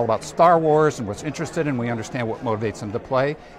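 A man with ordinary pitch variation, over noticeable background noise. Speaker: video game industry executive. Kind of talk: live event interview. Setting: live stream from conference floor. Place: hall. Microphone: lapel.

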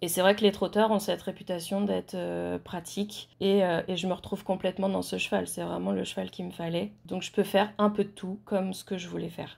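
In a very clean recording with a silent background, a woman speaks at a fairly quick pace with hardly any pauses. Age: 30s. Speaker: horse owner. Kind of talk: interview.

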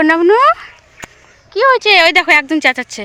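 The speech has lively intonation. Noticeable background noise is audible. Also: woman. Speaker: village vlogger. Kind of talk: casual vlog narration. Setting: outdoors at home courtyard.

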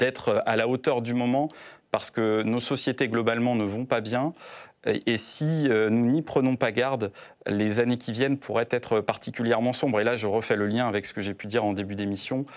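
A man at a moderate pace with fairly even intonation against a quiet background. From Brittany, France. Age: 30s. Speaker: senator. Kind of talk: political interview. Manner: hesitant, many filler sounds. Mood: earnest, measured. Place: studio. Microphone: lapel.

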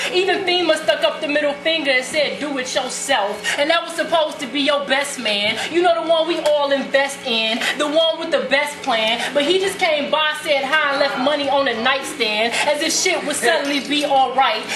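A woman speaks at a moderate pace with hardly any pauses, in a high pitch with ordinary pitch variation and an intense tone. Noticeable background noise sits behind her. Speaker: spoken word poet. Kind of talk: slam poetry performance. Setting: live open mic venue. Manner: intense, fiery. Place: stage. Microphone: camera far.

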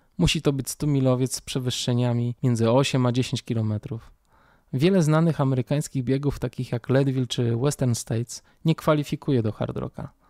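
A man talks at a fairly quick pace with fairly even intonation and a dark, mellow tone. The sound is dry and close with no echo, on a very clean recording with a silent background. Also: medium pitch for a man. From Poland, Warsaw. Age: 40s. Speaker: podcast host. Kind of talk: personal monologue.

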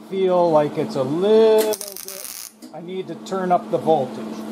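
A man speaks at a slow pace, high-pitched with a dark, mellow tone. Room echo is audible.

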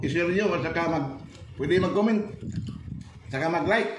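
A man's high-pitched voice at a fairly quick pace over noticeable background noise. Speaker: food vlogger. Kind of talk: casual vlog chat. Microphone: phone near.

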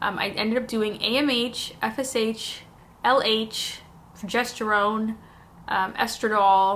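Speaking at a very slow pace, a woman uses a fairly high pitch and fairly even intonation. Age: 30s. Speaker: YouTuber. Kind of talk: casual vlog talk to camera. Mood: personal, emotional storytelling. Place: home room.

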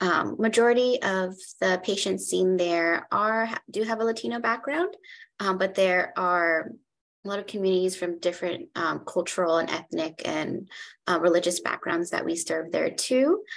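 Woman at a moderate pace with ordinary pitch variation. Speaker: clinical psychologist. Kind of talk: panel discussion. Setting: video call. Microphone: video call.

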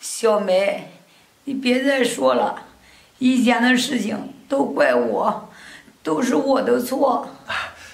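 Audible room echo surrounds a woman speaking very slowly in a high pitch. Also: ordinary pitch variation. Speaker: actress playing a sick mother-in-law. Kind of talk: scripted drama dialogue. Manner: weak, pained, remorseful pleading from sickbed.

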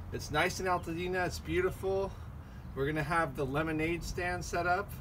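Noticeable background noise sits behind a man who speaks at a moderate pace in a high pitch. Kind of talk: promotional announcement. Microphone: camera far.

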